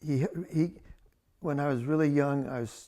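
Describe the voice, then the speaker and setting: Here a man speaks with an American accent at a fairly high pitch. His tone is dark and mellow. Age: 80s+. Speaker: land appraiser. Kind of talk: oral history interview answer.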